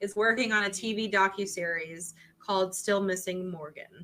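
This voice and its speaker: Her voice has a bright, sharp tone at a medium pitch, moving at a moderate pace with ordinary pitch variation. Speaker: true crime podcast co-host. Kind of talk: casual chat.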